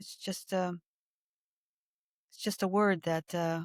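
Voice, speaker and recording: A woman speaks at a fairly slow pace with an American accent, her pitch fairly low. Her intonation is flat and monotone, and the sound is dry and close with no echo. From United States. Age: 60s. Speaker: podcast co-host. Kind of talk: casual chat.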